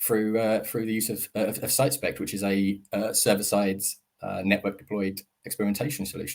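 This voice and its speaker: Speaking at a fairly quick pace, a man keeps his intonation monotone and flat. The delivery has almost no rise or fall. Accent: British. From UK. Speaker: optimisation consultant. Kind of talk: webinar presentation. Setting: live online webinar. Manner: hesitant, many fillers.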